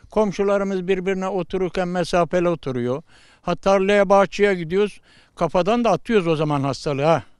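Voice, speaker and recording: Over a quiet background, a man with a high pitch talks at a fairly quick pace. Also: ordinary pitch variation. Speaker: village headman. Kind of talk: street interview. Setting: outdoors.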